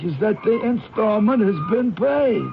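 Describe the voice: A man puts on a character voice, high for a man, with lively intonation and vocal fry. He goes at a fairly slow pace, and the room has audible echo.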